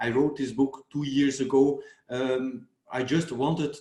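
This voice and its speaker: In a Flemish Belgian accent, a man speaks at a medium pitch with fairly even intonation. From Belgium. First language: Dutch. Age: 40s. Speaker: dermatologist and fitness YouTuber. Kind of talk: interview conversation.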